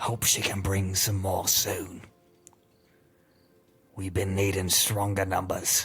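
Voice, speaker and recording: A man uses a raspy, put-on character voice with a fairly low pitch and monotone, flat intonation, speaking at a fairly slow pace with long, frequent pauses as faint music plays in the background. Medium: actual play. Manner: gruff, commanding, hushed.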